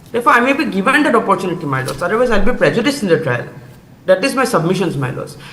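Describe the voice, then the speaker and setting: The speaker has a Bengali accent. Noticeable background noise is present. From Assam, India. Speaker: accused arguing own bail plea. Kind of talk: court submission. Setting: video link to court. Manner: formal.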